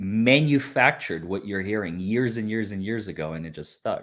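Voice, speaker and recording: In a very clean recording with a silent background, a man with a Northern US accent speaks at a medium pitch with lively intonation. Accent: self-made Northern US-like. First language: Russian. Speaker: lawyer. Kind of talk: casual chat.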